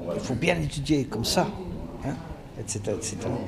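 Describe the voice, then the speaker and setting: With noticeable background noise and audible room echo, a man's fairly high voice makes very wide pitch swings. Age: 60s. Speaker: career coach. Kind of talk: radio interview. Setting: skills fair event.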